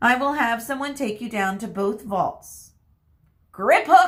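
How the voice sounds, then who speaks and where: Using a put-on character voice, a woman speaks at a fairly high pitch and a fairly slow pace. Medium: read story. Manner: curt, formal.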